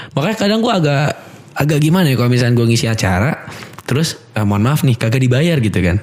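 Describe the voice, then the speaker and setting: Against noticeable background noise, a man of medium pitch speaks at a very fast pace with very even loudness and very wide pitch swings. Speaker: MC and podcaster. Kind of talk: casual podcast chat. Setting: studio. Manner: slightly hurried, not using belly breathing.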